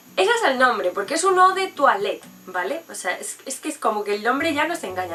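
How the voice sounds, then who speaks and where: Over background music, a woman raises and projects her high voice, her animated tone swinging very widely in pitch. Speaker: perfume reviewer. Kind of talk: product review vlog. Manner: fast.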